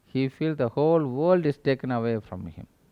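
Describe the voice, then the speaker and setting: A man speaks with a Tamil accent at a moderate pace. His pitch is fairly high, with ordinary pitch variation. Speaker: spiritual teacher. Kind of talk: spiritual talk.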